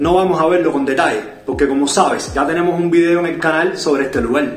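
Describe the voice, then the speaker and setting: Faint music sits in the background while a man talks at a fairly quick pace with ordinary pitch variation and audible room echo. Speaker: food vlogger. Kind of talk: casual vlog review. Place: home room.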